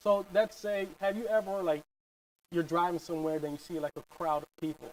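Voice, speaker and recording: Speaking at a fairly quick pace with a Philadelphia accent, a man uses a high pitch and fairly even intonation in a dry, close sound with no echo. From North Philadelphia. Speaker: real estate agent. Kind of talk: interview.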